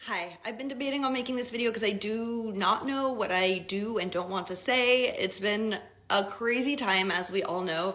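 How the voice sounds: The put-on character voice is hoarse and moves at a moderate pace. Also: woman, fairly high pitch for a woman.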